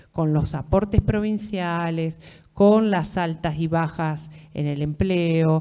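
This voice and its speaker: With a Rioplatense accent and a dark, mellow tone, the speaker goes very slowly with ordinary pitch variation in a very clean recording over a silent background. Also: woman. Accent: Argentine Rioplatense Spanish. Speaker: law lecturer. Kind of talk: lecture. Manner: conversational, with many fillers.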